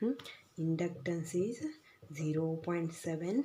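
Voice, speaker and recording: Speaking very slowly, a woman uses a fairly low, somewhat breathy voice with a dark, mellow tone and ordinary pitch variation. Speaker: physics teacher. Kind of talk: lecture. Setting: recorded video lesson.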